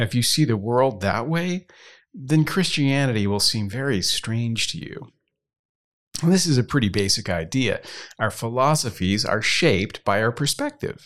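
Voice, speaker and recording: A plain, everyday voice with lively intonation at a moderate pace, in a very clean recording with a silent background. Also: man, medium pitch for a man. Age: 50s. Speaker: pastor and podcast host. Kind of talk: scripted Q&A podcast for children. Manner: clear, explanatory teaching tone.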